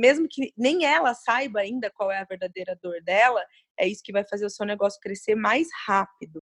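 Her voice is fairly high, her pitch varies in an ordinary way, and the woman keeps a moderate pace. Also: dry, close sound with no echo. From Brazil, moved around in childhood. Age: 30s. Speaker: CrossFit gym co-owner and coach. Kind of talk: interview.

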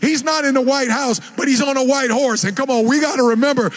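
Shouting at a fairly quick pace in an animated tone, a man with an extremely high pitch and ordinary pitch variation is heard over noticeable background noise. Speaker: preacher. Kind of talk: sermon. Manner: loud, yelling; animated, exhorting.

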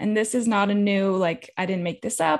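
A woman's plain, everyday voice with an American accent, medium pitch and ordinary pitch variation, over a quiet background. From California. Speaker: health coach and business owner. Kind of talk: podcast interview.

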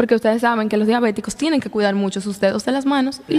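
This woman's voice sits at a fairly high pitch. Her pitch variation is ordinary. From Dominican Republic, La Vega. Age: 20s. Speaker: young entrepreneur. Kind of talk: interview conversation.

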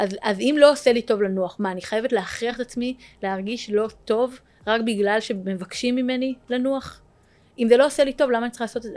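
A woman talks at a very fast pace in a fairly high pitch. Her loudness swings widely. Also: ordinary pitch variation. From Israel, Jerusalem. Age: 30s. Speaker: tech startup founder. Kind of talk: interview.

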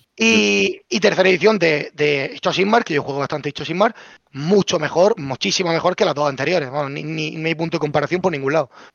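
This man has a fairly high pitch, vocal fry and lively intonation, talking at a fairly quick pace. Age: young. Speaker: content creator. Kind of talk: casual chat.

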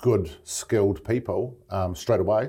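A man speaks fairly slowly in a New Zealand accent, his voice fairly low. There is a somewhat breathy quality to it. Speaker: business manager setting up branch offices. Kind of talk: casual interview. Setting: office in Brisbane.

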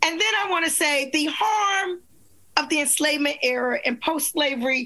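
Raising and projecting her voice, a woman speaks at a high pitch and moderate pace with lively intonation while background noise is noticeable. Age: 60s. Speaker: attorney and author. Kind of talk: panel discussion. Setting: video call.

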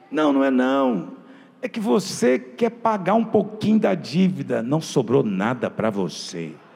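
Against noticeable background noise, a man with a fairly high pitch speaks slowly, his pitch swinging very widely. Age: 30s. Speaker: pastor. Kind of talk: sermon. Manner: animated.

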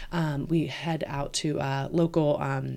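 A woman with a dark, mellow tone talks at a fairly slow pace on a very clean recording with a silent background. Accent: American. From Roanoke, Virginia. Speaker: swim school owner. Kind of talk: casual interview.

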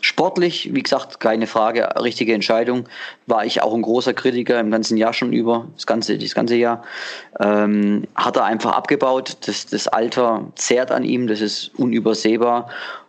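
A man with an unremarkable speaking voice talks at a moderate pace, medium in pitch and fairly even in intonation. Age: 30s. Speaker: fan podcast co-host. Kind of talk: casual chat.

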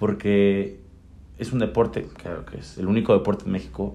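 Vocal fry marks a man's fairly low voice with a dark, mellow tone. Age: 20s. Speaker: young horseman and charro. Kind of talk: casual interview. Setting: at a country estate. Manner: halting, many repetitions.

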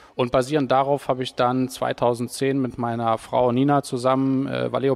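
In a flat monotone, a man talks at a medium pitch. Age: 40s. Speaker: personal trainer. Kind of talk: interview.

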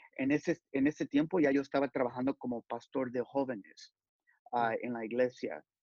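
Speaking in an ordinary speaking voice, a man keeps a moderate pace at medium pitch with fairly even intonation. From Los Angeles, California. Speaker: youth pastor and sportswear company employee. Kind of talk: interview.

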